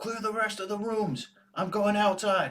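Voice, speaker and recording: A man's put-on character voice, high in pitch, with fairly even intonation and a moderate pace. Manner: commanding.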